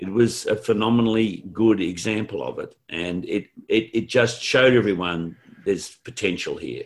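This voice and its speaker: In an Australian accent, the speaker goes at a moderate pace with big swings in loudness. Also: man. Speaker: podcast co-host, education consultant. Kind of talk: podcast conversation.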